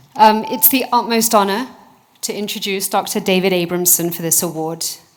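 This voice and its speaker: A woman at a fairly quick pace, her loudness swinging a lot, with noticeable background noise. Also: medium pitch for a woman, ordinary pitch variation. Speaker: researcher. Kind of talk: award presentation speech.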